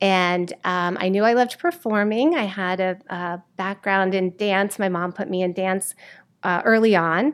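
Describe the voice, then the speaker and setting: With fairly even intonation, a normal speaking voice proceeds fairly slowly. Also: woman, medium pitch for a woman. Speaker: theater teacher. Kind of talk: casual interview.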